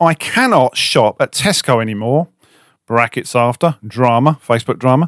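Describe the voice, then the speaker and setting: Speaking with a southern English accent at a moderate pace, a man keeps a medium pitch with ordinary pitch variation and very even loudness, on a very clean recording with a silent background and a dry, close sound with no echo. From southern England. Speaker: car detailing podcast co-host. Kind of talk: casual chat. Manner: joking, playful.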